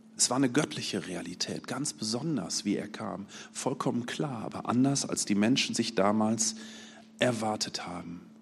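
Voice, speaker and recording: Ordinary pitch variation marks a plain, everyday voice that moves at a moderate pace. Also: man, medium pitch for a man. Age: 40s. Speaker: lay preacher. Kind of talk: sermon.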